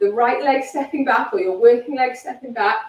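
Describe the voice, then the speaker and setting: A loud, high-pitched woman's voice with lively intonation. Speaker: fitness instructor. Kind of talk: workout instruction. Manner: animated.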